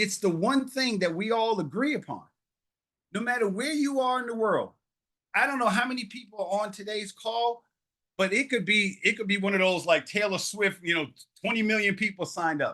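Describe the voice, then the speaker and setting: A man with a New York accent speaks in a raised, projected voice with a high pitch and ordinary pitch variation. His tone is animated, bright and sharp, at a moderate pace with long, frequent pauses. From New York (Harlem). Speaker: public speaking trainer, storyteller. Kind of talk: workshop talk.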